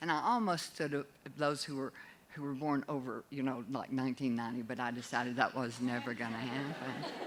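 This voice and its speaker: A woman's very deep, low voice at a fairly quick pace, with fairly even intonation over noticeable background noise. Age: 70s. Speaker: audience member asking a question. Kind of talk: audience Q&A comment. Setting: conference hall with audience, microphone in room.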